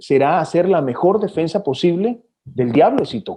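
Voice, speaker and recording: Using a normal speaking voice, a man keeps a moderate pace. He talks with lively intonation. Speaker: TV news anchor. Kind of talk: interview answer.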